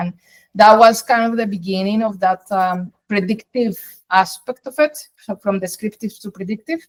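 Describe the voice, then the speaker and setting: A Spanish accent at a moderate pace with ordinary pitch variation, in a dry, close sound with no echo. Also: woman. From Colombia. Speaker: data science executive. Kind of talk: interview.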